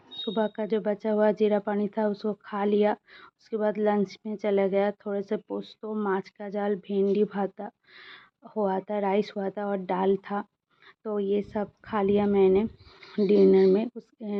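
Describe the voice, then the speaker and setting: In a Bengali accent, a woman speaks at a medium pitch with monotone, flat intonation. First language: Bengali (speaking Hindi). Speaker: vlogger, mother. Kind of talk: personal daily vlog. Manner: halting, many fillers.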